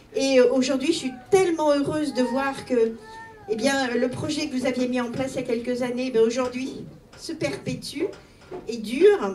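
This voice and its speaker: Amid noticeable background noise and audible room echo, a woman speaks in a high pitch at a moderate pace with ordinary pitch variation. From Italy. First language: Italian (speaking French). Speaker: mayor. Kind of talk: public speech.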